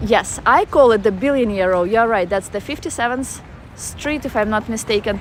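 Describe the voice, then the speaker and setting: Someone with a Russian accent talks at a moderate pace with ordinary pitch variation over noticeable background noise. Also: woman. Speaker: travel vlogger. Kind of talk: live-stream walking tour with chat. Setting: outdoors in a park. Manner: casual, halting with fillers.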